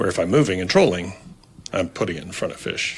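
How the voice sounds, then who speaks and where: Somewhat breathy, this man's voice sits at a very deep, low pitch. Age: 60s. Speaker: fishing guide. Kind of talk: casual chat. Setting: studio.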